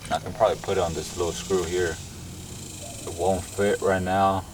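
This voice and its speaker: The delivery is fairly quick, with monotone, flat intonation. There is noticeable background noise. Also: man. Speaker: car builder vlogger. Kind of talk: casual vlog tutorial.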